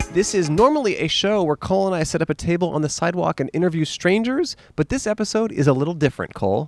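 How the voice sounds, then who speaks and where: A man speaks very fast with hardly any pauses. His pitch is high and his intonation lively. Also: dry sound with no echo. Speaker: podcast host. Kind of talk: comedic interview. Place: garden. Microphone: handheld.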